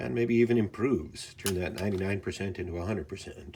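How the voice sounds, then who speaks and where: Somewhat breathy, the voice has a calm tone and lively intonation. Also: man. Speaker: firearms channel host. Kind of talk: instructional firearm cleaning talk to camera. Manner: calm, measured, soft-spoken.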